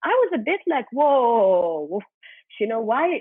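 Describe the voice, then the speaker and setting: Loud and fairly high-pitched, a woman's voice comes through. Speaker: music journalist and curator. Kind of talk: panel discussion. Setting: video call.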